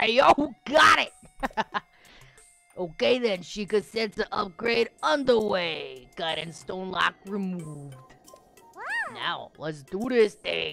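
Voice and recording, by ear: A raspy, put-on character voice at a middle pitch speaks at a very slow pace, with faint music in the background.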